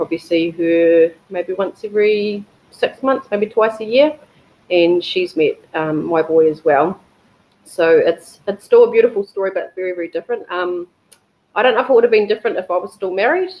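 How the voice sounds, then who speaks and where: A woman with a New Zealand accent, medium pitch, ordinary pitch variation and a moderate pace. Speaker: embryo donor. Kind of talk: personal testimony. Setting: webinar video call. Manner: hesitant, many fillers.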